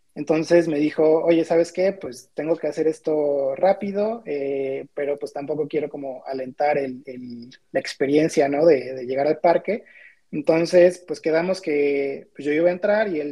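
With a normal speaking voice, a man talks at a fairly slow pace, his pitch fairly high and its variation ordinary. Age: 20s. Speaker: graphic designer. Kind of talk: casual chat.

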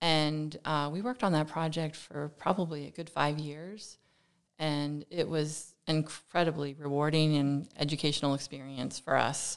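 A woman with a very deep, low pitch and an American accent, at a moderate pace with fairly even intonation, over a quiet background. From Pennsylvania, Lehigh Valley. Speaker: architect. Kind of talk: interview conversation.

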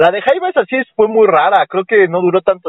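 A man with a Mexican accent, lively intonation and a fairly quick pace. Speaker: podcast host. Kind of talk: casual comedic chat.

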